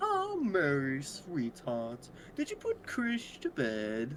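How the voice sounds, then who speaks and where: A put-on character voice at a very slow pace, over clear background noise. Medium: game stream.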